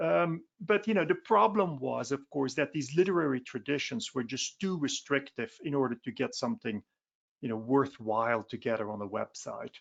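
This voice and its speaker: A man with a Dutch accent, fairly high in pitch, with very wide pitch swings. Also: moderate pace. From Belgium, Flanders. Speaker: philosophy professor. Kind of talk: webinar presentation. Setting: online webinar. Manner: conversational with frequent fillers.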